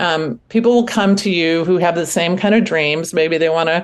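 The speaking voice is unremarkable. It moves at a moderate pace. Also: woman. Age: 60s. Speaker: author and artist. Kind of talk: interview.

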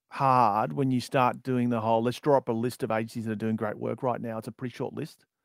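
A man with an Australian accent, medium pitch, dry, close sound without echo. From Australia, outer suburbs of Melbourne. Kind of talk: interview.

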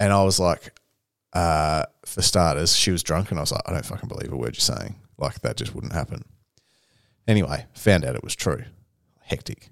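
With vocal fry and a very deep, low pitch, a man speaks at a moderate pace with lively intonation and long, frequent pauses. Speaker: podcast host. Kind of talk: casual chat.

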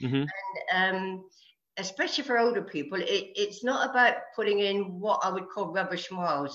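A woman speaks at a medium pitch with a British accent. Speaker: age-group triathlete. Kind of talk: interview.

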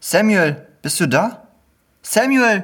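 A put-on character voice with a fairly bright tone, lively intonation and a slow pace. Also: man, high pitch for a man.

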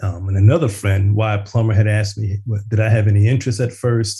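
This man, with an American accent, has a fairly low, somewhat breathy voice with a dark, mellow tone. His intonation is monotone and flat. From US Northeast, West Philadelphia. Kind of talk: casual chat.

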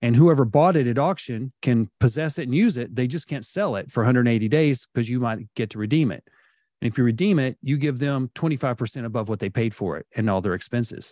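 In a very clean recording with a silent background and a dry, close sound with no echo, a man with an unremarkable speaking voice talks at a fairly quick pace and medium pitch with ordinary pitch variation. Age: 50s. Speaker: home improvement business owner. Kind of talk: podcast interview.

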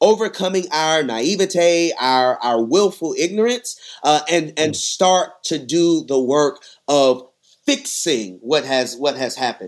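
A man speaks in an ordinary speaking voice with an American accent, his pitch fairly high. His pace is fairly slow and his intonation lively. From Texas. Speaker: pastor and seminary student. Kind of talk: podcast interview.

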